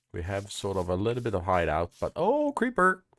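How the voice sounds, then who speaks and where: A man speaks with a Swedish accent. The recording is very clean and dry, close with no echo, against a silent background. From Sweden. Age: 40s. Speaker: gaming YouTuber. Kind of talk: let's play commentary. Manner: animated.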